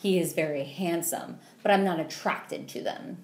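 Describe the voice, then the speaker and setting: A woman's fairly low voice, dark and mellow in tone, at a moderate pace with audible room echo. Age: 30s. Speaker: podcast co-host. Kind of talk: casual chat.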